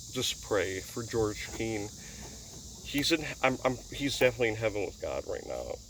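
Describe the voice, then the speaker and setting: A man speaks in an Upper Midwest accent. His pace is fairly slow. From US upper Midwest. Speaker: YouTuber, racing fan. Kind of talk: casual vlog monologue. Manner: halting.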